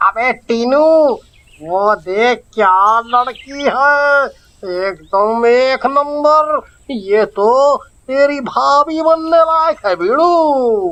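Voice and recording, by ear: Speaking very slowly, a man uses a cartoonish character voice pitched extremely high.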